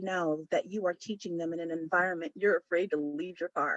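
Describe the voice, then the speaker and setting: In an American accent, a woman with an ordinary speaking voice talks at a moderate pace and medium pitch, with ordinary pitch variation and a dry, close sound with no echo. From US West Coast, San Diego. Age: 50s. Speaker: counselor and conference speaker. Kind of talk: conference presentation. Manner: conversational, direct.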